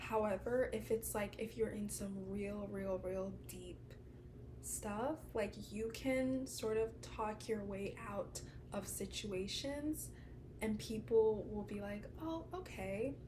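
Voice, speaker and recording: Soft-spoken and very slow, a woman talks amid audible room echo. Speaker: lifestyle vlogger. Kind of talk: casual advice talk to camera.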